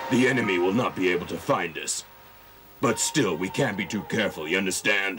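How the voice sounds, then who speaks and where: Over clear background noise, a man puts on a cartoonish character voice, fairly low in pitch and at a fairly quick pace. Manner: menacing.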